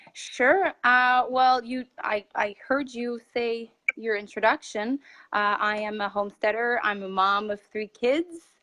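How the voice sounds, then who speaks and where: Speaking in a French Canadian accent, a woman uses a fairly high, bright, sharp voice at a fairly slow pace. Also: ordinary pitch variation. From Quebec, French Canada. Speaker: homesteader. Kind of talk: casual interview chat. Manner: halting, many fillers.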